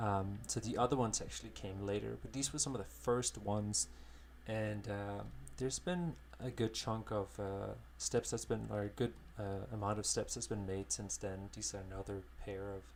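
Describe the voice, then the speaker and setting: Somewhat breathy and fairly low, a man's voice moves at a moderate pace with very wide pitch swings. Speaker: digital painter, art streamer. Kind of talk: live-stream painting tutorial. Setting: live stream from home studio. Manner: halting, many fillers.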